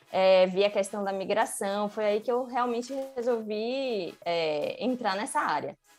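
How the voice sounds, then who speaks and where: Music plays in the background as a woman speaks at a fairly slow pace with hardly any pauses, her pitch fairly high with ordinary variation. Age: 30s. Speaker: UX designer, former marketing professional. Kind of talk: interview. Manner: hesitant, many filler sounds.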